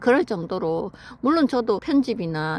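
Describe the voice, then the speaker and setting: Using a plain, everyday voice, a woman keeps a moderate pace. Her intonation is lively. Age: 50s. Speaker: vlogger. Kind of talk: casual personal story told to camera.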